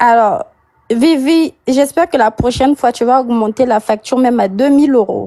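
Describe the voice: A woman speaks at a high pitch with a slightly mellow tone. Her pace is moderate, and her pitch varies in an ordinary way.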